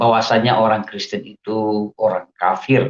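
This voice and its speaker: This man's voice is fairly low in pitch. He talks at a very slow pace. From Indonesia, Aceh. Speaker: religious convert giving testimony. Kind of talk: testimony.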